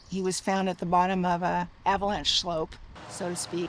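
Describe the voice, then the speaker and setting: Vocal fry runs through a woman's medium-pitched voice as she talks at a moderate pace. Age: 60s. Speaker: search and rescue volunteer. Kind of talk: documentary interview answer.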